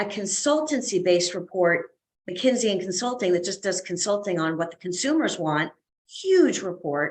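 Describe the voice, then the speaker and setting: Her intonation is lively and her pitch sits in the middle range for a woman. She talks at a moderate pace, with big swings in loudness. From Canada. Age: 60s. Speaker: fitness educator and consultant. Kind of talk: podcast interview. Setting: video call. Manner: animated.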